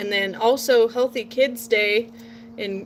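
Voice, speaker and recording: With an American accent, a woman talks at a fairly slow pace in a fairly high pitch. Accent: sometimes a southern drawl. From Portland, Oregon. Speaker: nursing student and gardener vlogger. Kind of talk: casual vlog monologue. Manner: chatty, rambling.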